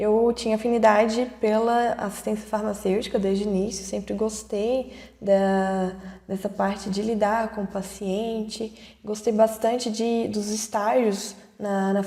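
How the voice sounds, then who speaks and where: A woman with a fairly high pitch and a dark, mellow tone speaks at a fairly slow pace in a flat, monotone way. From Brazil, Ouro Preto (Minas Gerais). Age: 20s. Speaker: pharmacist, production supervisor. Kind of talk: online talk to students. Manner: halting, many fillers.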